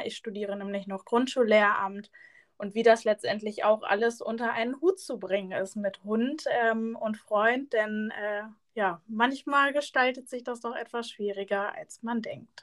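Speaking at a fairly slow pace, a woman with a fairly high pitch shows big swings in loudness. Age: 20s. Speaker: podcast co-host, student teacher. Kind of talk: casual chat.

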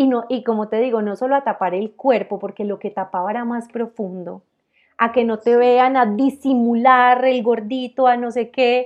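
A woman has an ordinary speaking voice, fairly high in pitch with fairly even intonation. The background is quiet. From Colombia, Armenia (Quindío, coffee region). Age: 30s. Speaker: entrepreneur. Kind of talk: interview.

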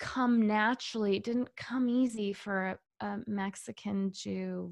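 A woman talks at a very slow pace with a medium pitch. Her voice is somewhat breathy. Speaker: actress and writer. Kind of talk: casual interview chat. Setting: video call.

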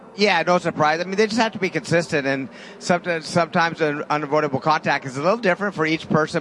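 There is noticeable background noise. Over it, a man talks at a very fast pace. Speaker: driver analyst. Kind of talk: race analysis commentary. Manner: conversational, knowledgeable.

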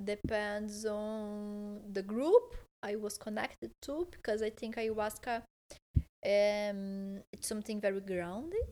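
A woman with a Portuguese accent speaks at a very slow pace and a medium pitch, her intonation fairly even. Her tone is dark and mellow, with big swings in loudness. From southern Brazil, Porto Alegre. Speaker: holistic therapist and engineer. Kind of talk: casual interview. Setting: in a home, on a couch. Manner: halting, many fillers.

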